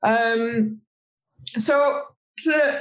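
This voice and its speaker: The woman's voice is somewhat breathy. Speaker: podcast host. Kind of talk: interview.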